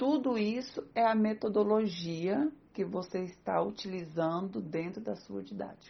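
A woman with a Brazilian accent at medium pitch, lively in intonation, at a fairly slow pace with hardly any pauses. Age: 30s. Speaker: psychologist and teacher. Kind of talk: interview.

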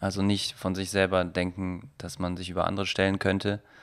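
Very deep, low male voice at a moderate pace, monotone and flat, on a very clean recording with a silent background. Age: 20s. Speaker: photographer and filmmaker. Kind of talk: casual interview.

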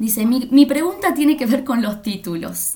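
A woman talks with ordinary pitch variation at a moderate pace while noticeable background noise carries on. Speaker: writing workshop moderator. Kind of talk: interview.

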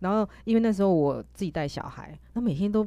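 Animated in tone, a woman with a fairly low pitch speaks at a moderate pace with lively intonation, and the recording is very clean with a silent background. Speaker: podcast host. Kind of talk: casual chat. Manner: halting.

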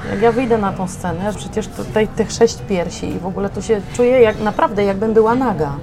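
Noticeable background noise sits behind a woman speaking at a fairly quick pace with hardly any pauses. Her pitch is medium, with ordinary variation. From southern Poland, Limanowa near Nowy Sącz. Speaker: opera singer. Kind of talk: casual chat. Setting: café.

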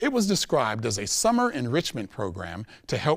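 Using an ordinary speaking voice, a man speaks at a fairly quick pace with lively intonation. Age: 40s. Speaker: public speaker, educator. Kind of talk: prepared talk to audience. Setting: stage with audience. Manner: formal.

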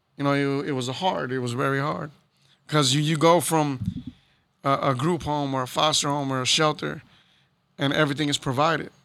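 A man with an American accent at a fairly high pitch, bright, sharp tone and fairly even intonation, at a fairly quick pace broken by long, frequent pauses. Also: very clean recording, silent background. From Houston, Texas. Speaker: hip-hop promoter and artist manager. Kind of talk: casual interview. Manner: laid-back, filler-heavy.

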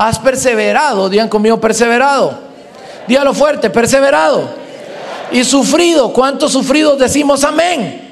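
A man with an extremely high pitch and an animated tone speaks at a moderate pace, with ordinary pitch variation and very even loudness, over noticeable background noise and audible room echo. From Guatemala. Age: 20s. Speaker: pastor. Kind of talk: sermon.

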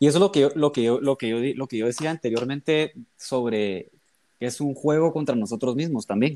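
In a normal speaking voice at medium pitch, a man talks at a fairly quick pace with ordinary pitch variation, the sound dry and close with no echo. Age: 20s. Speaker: medical student. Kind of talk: casual chat.

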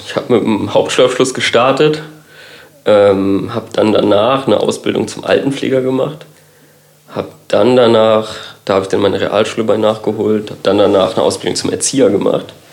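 With fairly even intonation and a moderate pace, a man talks over noticeable background noise in a room with audible echo. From Kiel, northern Germany. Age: 30s. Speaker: designer. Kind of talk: casual chat.

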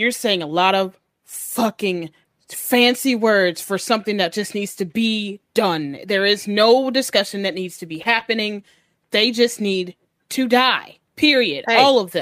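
Raised and projected, a growling, female-sounding put-on character voice moves at a moderate pace with a medium pitch. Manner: growling, angry, aggressive.

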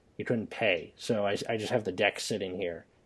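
A man's normal speaking voice at a fairly quick pace, with ordinary pitch variation. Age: 20s. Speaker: podcast host. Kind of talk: casual chat.

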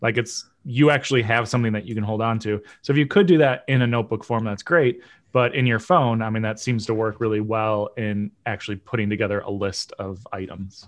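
Against a quiet background, a man talks in an unremarkable speaking voice at a fairly quick pace. His pitch is medium, with ordinary pitch variation. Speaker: podcast co-host. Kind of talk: casual chat.

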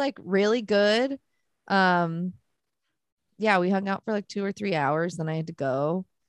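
An animated woman speaks at a medium pitch and a fairly slow pace with lively intonation, on a very clean recording with a silent background and a dry, close sound with no echo. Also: long, frequent pauses. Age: 20s. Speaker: podcast co-host. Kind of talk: casual chat.

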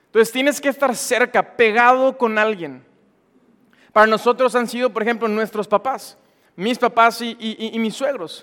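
An extremely high-pitched male voice, bright and sharp in tone, at a moderate pace with fairly even intonation and a dry, close sound with no echo. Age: 20s. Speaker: young engaged church speaker. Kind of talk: sermon.

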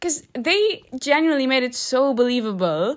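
Over a silent background on a very clean recording, a woman speaks at a moderate pace with lively intonation. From Ireland, moved there from abroad at age eight. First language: non-English, language of migrant family. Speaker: podcast co-host. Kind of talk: casual chat. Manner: careful, clear enunciation.

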